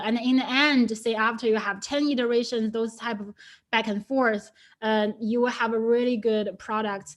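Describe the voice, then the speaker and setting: With a Chinese accent, a woman speaks at a fairly high pitch using fairly even intonation. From China. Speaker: data scientist. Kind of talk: webinar talk. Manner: hesitant, many fillers.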